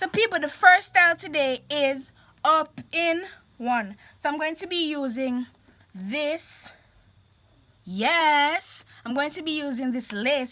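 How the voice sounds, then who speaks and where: With a high, bright, sharp voice, a woman projects very slowly, her intonation lively and her loudness swinging widely. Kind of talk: casual, friendly.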